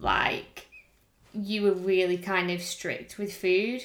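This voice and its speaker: A woman with an English accent, medium in pitch, with fairly even intonation at a very slow pace. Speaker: fitness coach and podcast co-host. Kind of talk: casual chat.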